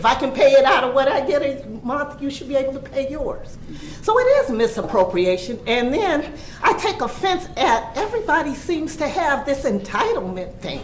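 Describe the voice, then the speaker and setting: An animated tone with very wide pitch swings at a moderate pace, plus audible room echo and noticeable background noise. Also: woman, high pitch for a woman. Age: 60s. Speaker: retired resident speaking at public comment. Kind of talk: public comment at a board meeting. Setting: township board meeting room.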